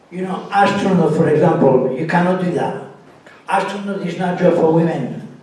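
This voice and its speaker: A high-pitched man talks at a moderate pace with ordinary pitch variation, amid audible room echo and noticeable background noise. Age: 60s. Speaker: amateur comedian. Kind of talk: stand-up. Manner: halting, repeats words.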